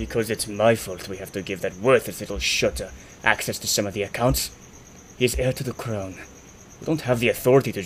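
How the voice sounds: Speaking at a fairly quick pace, a man puts on a gruff character voice at a medium pitch, with clear background noise behind him.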